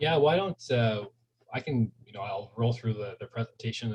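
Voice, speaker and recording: A man with a Canadian accent speaks at a very fast pace. His voice is somewhat breathy, with a medium pitch and ordinary pitch variation. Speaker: municipal waste management official. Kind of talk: presentation. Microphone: too quiet, sitting far from computer.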